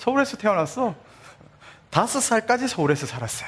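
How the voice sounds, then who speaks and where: With very wide pitch swings, a man speaks at a fairly quick pace. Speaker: pastor. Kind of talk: sermon.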